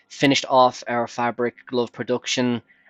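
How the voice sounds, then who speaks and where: A man is speaking with music in the background. The sound is dry and close, with no echo. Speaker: gaming video creator. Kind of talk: let's play commentary. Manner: casual with many fillers.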